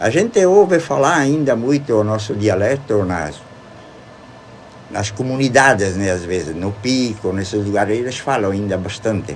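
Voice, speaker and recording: Lively intonation marks a man's fairly low voice at a moderate pace. Audible room echo and noticeable background noise fill the recording. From Rodeio, Santa Catarina, southern Brazil. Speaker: retired teacher and local author. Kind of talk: radio interview. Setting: radio studio.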